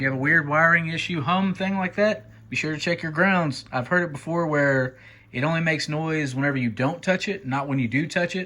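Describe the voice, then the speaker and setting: Recorded very cleanly against a silent background, a man with a bright, sharp tone and fairly high pitch speaks at a fairly quick pace. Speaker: bass player in a cover band. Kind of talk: casual repair tutorial to camera.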